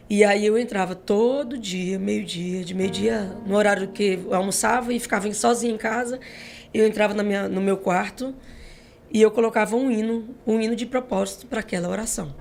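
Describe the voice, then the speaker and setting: A woman's fairly high voice at a moderate pace, fairly even in intonation, with music in the background. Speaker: gospel singer. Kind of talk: testimony.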